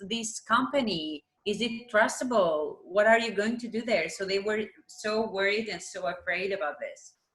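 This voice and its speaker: With an Albanian accent, a woman speaks at a fairly slow pace in a fairly high voice. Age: 20s. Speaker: math teacher. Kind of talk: interview.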